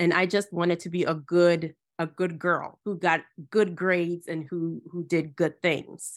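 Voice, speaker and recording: Monotone, flat delivery in an American accent at a fairly slow pace. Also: woman, fairly low pitch for a woman. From Ghana, then US from age ten. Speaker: Bible teacher and author. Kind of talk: interview conversation. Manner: halting, many fillers.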